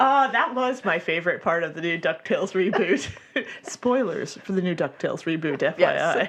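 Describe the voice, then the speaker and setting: Over noticeable background noise, a woman talks at a moderate pace and medium pitch, her pitch swinging very widely. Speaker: radio DJ, podcast co-host. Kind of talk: casual banter on a comedy podcast. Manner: playful, joking.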